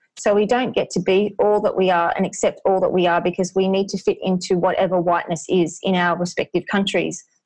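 A woman with an Australian accent at medium pitch, with monotone, flat intonation, very even loudness and a fairly quick pace, over a quiet background. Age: 40s. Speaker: anti-racism coach. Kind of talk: interview.

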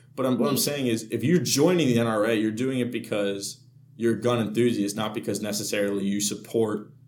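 A man's medium-pitched voice at a fairly quick pace, with ordinary pitch variation and audible room echo. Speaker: student podcast co-host. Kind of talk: casual chat.

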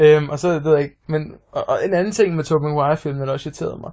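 Against a quiet background, a somewhat breathy voice talks very fast with fairly even intonation. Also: man. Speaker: podcast co-host. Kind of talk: casual chat.

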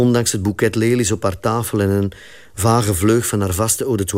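Fairly even intonation within a natural reading voice

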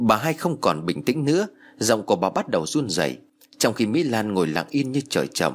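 The voice heard is a natural reading voice.

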